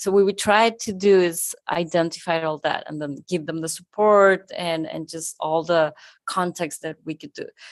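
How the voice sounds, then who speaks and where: A woman with a fairly low pitch talks at a moderate pace. Her intonation is fairly even, though her loudness swings widely. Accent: Spanish. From Argentina. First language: Spanish. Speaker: conference co-founder. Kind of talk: live podcast interview. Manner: halting.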